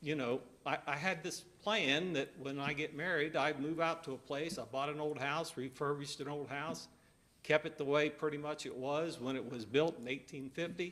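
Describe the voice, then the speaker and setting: With an American accent, a man at a fairly high pitch speaks at a moderate pace with fairly even intonation. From southwest Ohio. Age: 60s. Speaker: resident commenting at public hearing. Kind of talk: public comment at county meeting. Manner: halting.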